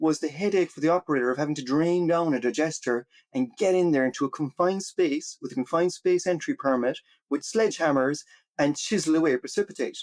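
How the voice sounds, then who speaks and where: A man's fairly high voice with an American accent at a very fast pace, in a very clean recording with a silent background and a dry, close sound with no echo. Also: ordinary pitch variation. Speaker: water technology researcher and entrepreneur. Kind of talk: podcast interview.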